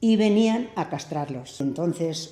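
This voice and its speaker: A woman's dark, mellow tone, lively in intonation, at a very slow pace. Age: 70s or 80s. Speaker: former innkeeper. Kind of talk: interview answer.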